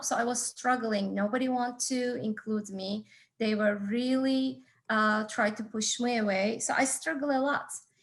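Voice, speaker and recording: A woman's somewhat breathy voice, fairly high in pitch, with fairly even intonation. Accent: Turkish. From Turkey. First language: Turkish. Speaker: entrepreneurship instructor and business consultant. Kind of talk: talk to an audience. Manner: halting, with frequent fillers.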